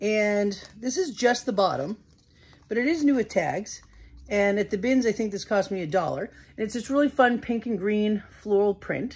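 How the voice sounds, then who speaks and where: The woman's voice is somewhat breathy. Her pitch varies in an ordinary way. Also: moderate pace. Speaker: reseller haul vlogger. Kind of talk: casual vlog chat. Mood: upbeat, excited. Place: home room. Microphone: phone near.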